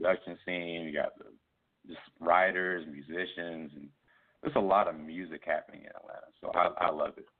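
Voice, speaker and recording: This man speaks at a fairly quick pace, with big swings in loudness. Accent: American. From US South, Columbia, South Carolina. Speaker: musician. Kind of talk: interview. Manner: casual.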